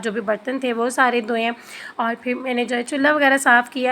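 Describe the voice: Her voice is fairly high, with a bright, sharp tone as this woman speaks.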